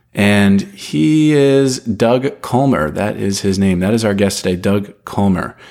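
Speaking at a fairly slow pace, a man uses a fairly low pitch and lively intonation. His loudness stays very even, and he hardly pauses at all. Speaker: podcast host. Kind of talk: casual interview; scripted intro.

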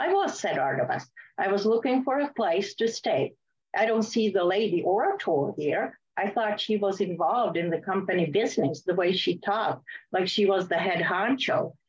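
Her intonation is lively. This woman's voice carries a somewhat breathy quality. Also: medium pitch for a woman, moderate pace. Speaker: author. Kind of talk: reading aloud. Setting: video call.

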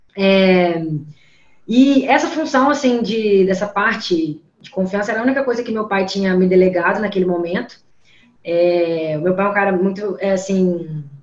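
With audible room echo, a woman speaks at a moderate pace in a medium pitch with ordinary variation. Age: 20s. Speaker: company CEO. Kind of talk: interview.

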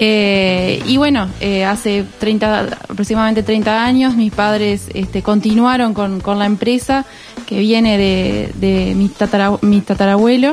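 A woman's medium-pitched voice comes through noticeable background noise at a fairly slow pace, its intonation fairly even. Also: very even loudness. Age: 20s. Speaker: cheese business manager. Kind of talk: radio interview. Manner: halting, many fillers.

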